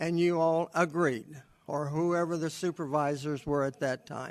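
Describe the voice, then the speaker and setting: Against a quiet background, a man with high pitch talks at a fairly slow pace. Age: 70s. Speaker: veterinarian speaking at public comment. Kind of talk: public comment at council meeting.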